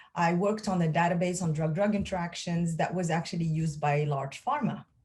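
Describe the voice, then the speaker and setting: In a French accent, a woman speaks with a fairly low pitch, a somewhat breathy voice, and ordinary pitch variation. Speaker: pharmacist and lab executive. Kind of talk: interview. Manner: hesitant, many fillers.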